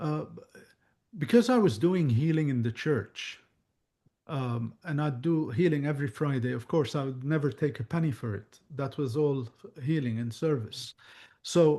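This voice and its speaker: A man with an Arabic accent, somewhat breathy and fairly high-pitched, with lively intonation, a fairly slow pace and long, frequent pauses against a quiet background. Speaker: psychic medium. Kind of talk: Q&A chat.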